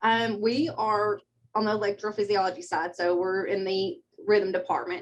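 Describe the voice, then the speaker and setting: A woman with a Kentucky accent talks at a moderate pace and medium pitch with ordinary pitch variation. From southeastern Kentucky, Pineville. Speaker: medical assistant. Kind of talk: interview.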